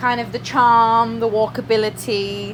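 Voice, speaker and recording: A woman speaks with an English accent over noticeable background noise. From England. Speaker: vlogger. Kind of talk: casual vlog. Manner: chatty.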